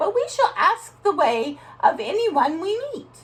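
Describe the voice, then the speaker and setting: A woman uses a squeaky put-on character voice at an extremely high pitch. Her pitch swings very widely as she goes at a fairly slow pace. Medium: read story.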